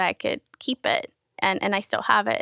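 A woman speaks with a Spanish accent in a bright, sharp tone. The sound is dry and close, with no echo. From Querétaro, Mexico, raised San Diego. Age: 30s. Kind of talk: casual interview chat.

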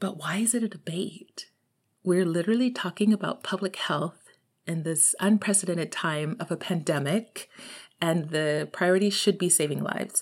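A Texan accent in a very clean recording with a silent background. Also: woman, fairly low pitch for a woman, ordinary pitch variation, moderate pace. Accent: Texan American English. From Texas. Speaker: podcast host. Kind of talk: solo monologue. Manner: casual, rambling.

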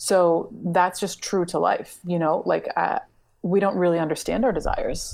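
Speaking at a moderate pace, a woman has a fairly low pitch and a dark, mellow tone, captured on a very clean recording with a silent background. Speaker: writer and translator. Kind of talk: casual interview conversation. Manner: soft-spoken.

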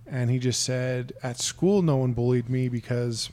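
A man speaks at a medium pitch with a dark, mellow tone. His intonation stays fairly even. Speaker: podcast host. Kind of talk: casual interview chat.

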